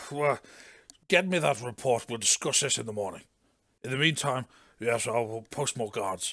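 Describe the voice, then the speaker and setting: A man uses a put-on character voice, raspy and medium in pitch, with lively intonation. He moves at a moderate pace, broken by long, frequent pauses. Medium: actual play. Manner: clipped, officious.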